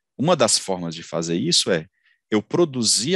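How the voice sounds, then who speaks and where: A man's fairly low voice at a moderate pace, with very wide pitch swings, a dry sound with no echo, and a quiet background. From Ceará, Brazil. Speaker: engineer and company founder; engineer lecturer. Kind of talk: lecture. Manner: halting, many fillers and repetitions. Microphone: headset.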